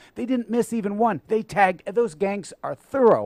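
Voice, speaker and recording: With a dry, close sound and no echo, a man speaks in an animated tone at a high pitch. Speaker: former salesman and newspaper reporter. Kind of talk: casual chat.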